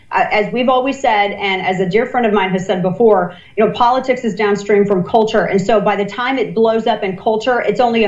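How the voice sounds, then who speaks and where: An animated woman at medium pitch and a very fast pace, with audible room echo and noticeable background noise. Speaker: political commentator. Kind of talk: live election commentary.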